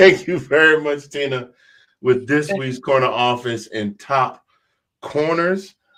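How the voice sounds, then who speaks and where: A man speaks at a fairly slow pace. His voice is fairly high in pitch, with a bright, sharp tone. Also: ordinary pitch variation. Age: 50s. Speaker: sports show host. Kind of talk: casual panel discussion.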